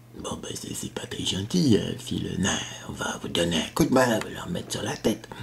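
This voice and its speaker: Whispering in a put-on character voice, a man keeps a moderate pace. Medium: read story. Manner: gruff, hesitant, blunt.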